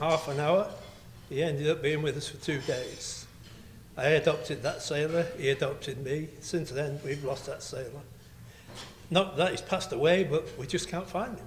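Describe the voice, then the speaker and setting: Speaking at a moderate pace with ordinary pitch variation, a man with a fairly high pitch is heard in a room with audible echo. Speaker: friend of the ship's crew. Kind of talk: speech. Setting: banquet hall with audience.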